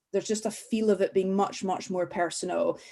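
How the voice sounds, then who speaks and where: In a Scottish accent, a woman speaks at a moderate pace and a medium pitch. Her intonation is fairly even. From Scotland. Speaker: school parent. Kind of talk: webinar talk.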